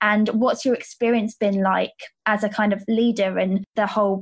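A woman's somewhat breathy, medium-pitched voice at a moderate pace, in a very clean recording with a silent background. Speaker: podcast host. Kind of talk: interview. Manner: warm, enthusiastic.

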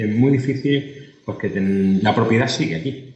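With ordinary pitch variation, a man talks amid noticeable background noise and audible room echo. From Spain, Murcia. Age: 40s. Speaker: food company executive. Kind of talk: interview. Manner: halting.

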